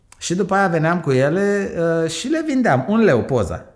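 A man with lively intonation talks in a normal speaking voice. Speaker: entrepreneur. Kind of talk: interview.

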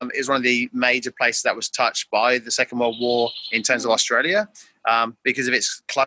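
A bright, sharp tone with fairly even intonation and a dry, close sound with no echo. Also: man. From England. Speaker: math teacher. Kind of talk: casual interview. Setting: video call.

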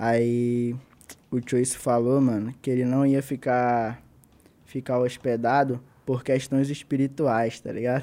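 A man speaks very slowly with a Manaus accent. His tone is dark and mellow, and his intonation is monotone and flat. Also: medium pitch for a man. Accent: Manaus accent, hissing s. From Brazil, Manaus (Amazonas). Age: 20s. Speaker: battle rapper. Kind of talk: casual chat.

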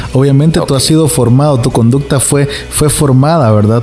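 A man at a medium pitch and a fairly quick pace, with ordinary pitch variation and noticeable background noise. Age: 30s. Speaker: pastor and radio co-host.

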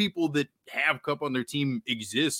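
A man's fairly high voice has a bright, sharp tone and lively intonation. The sound is dry and close, with no echo. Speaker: fantasy football podcaster guest. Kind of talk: casual podcast discussion.

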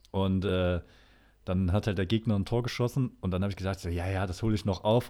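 A man mumbles at a fairly quick pace. The recording is very clean, with a silent background. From Thuringia, Erfurt. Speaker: podcast co-host. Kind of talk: casual chat. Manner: mumbling, barely opens mouth.

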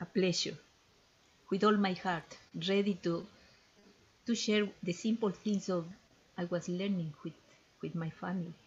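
With a Spanish accent, a woman speaks fairly slowly in a somewhat breathy voice, her intonation fairly even and her pauses long and frequent. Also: medium pitch for a woman. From Ecuador. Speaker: ethnopharmacologist and traditional healer. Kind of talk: interview. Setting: podcast interview.

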